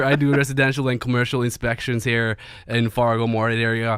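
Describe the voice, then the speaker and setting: The speaker has a Norwegian accent, heard in a very clean recording with a silent background. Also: man. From Norway. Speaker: home inspector. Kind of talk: radio interview. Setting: studio.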